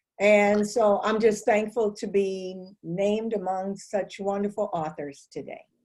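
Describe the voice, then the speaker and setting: Speaking with an American accent in an unremarkable speaking voice, a woman goes at a fairly slow pace with medium pitch, fairly even intonation and hardly any pauses. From St. Louis, Missouri. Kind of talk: panel interview.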